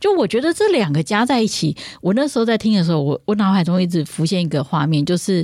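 An unremarkable speaking voice moves at a fairly quick pace. The recording is very clean, with a silent background. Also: woman. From Taiwan. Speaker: classical music podcast host. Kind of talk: casual chat.

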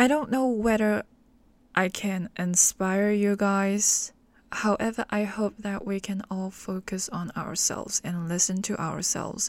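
With an American accent, a woman speaks at a very slow pace and medium pitch. Her intonation is fairly even, and the recording is very clean with a silent background. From Hong Kong. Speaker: podcast host. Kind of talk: solo monologue.

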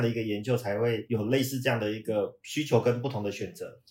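Here a man speaks at a fairly quick pace. His medium-pitched voice is somewhat breathy. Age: 50s. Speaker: management consultant. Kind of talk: casual chat.

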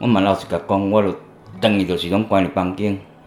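A man speaks with music playing in the background. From central Taiwan. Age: 40s. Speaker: recovering drug user, farm worker. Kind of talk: interview testimony. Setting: outdoor farm location. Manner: halting.

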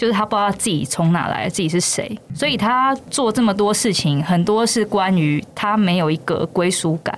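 Against noticeable background noise, a woman speaks at a moderate pace and medium pitch. Her intonation is lively and her loudness very even. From Taiwan, Yunlin. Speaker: brand manager of a puppet theater company. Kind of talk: casual interview chat.

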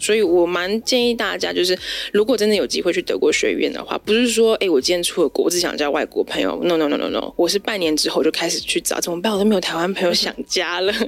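A woman speaks at a very fast pace with hardly any pauses, her medium-pitched voice showing ordinary pitch variation. Noticeable background noise runs behind her. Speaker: florist and flower arranging teacher. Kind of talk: casual interview chat.

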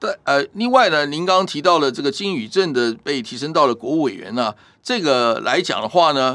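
At a moderate pace, this voice makes very wide pitch swings in a very clean recording with a silent background. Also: man. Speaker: professor. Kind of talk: interview.

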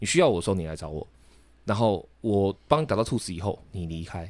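A man with a fairly low pitch, lively intonation and a very fast pace, on a very clean recording with a silent background. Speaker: podcast co-host. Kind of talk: casual debate.

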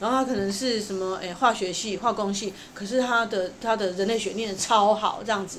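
Female speech with audible echo from the room and noticeable noise behind it. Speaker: opera and puppet theatre playwright. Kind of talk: interview.

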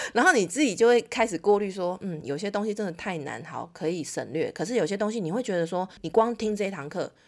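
Speaking at a very fast pace with hardly any pauses, a woman uses lively intonation at a medium pitch. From Taiwan. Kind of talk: interview. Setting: remote call. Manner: animated.

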